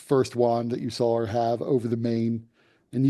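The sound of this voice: The speaker uses an unforced reading voice.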